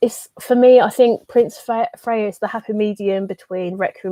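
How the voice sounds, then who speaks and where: A woman with a plain, everyday voice speaks at a moderate pace with fairly even intonation. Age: 20s. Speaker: manga youtuber. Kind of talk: livestream chat. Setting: livestream.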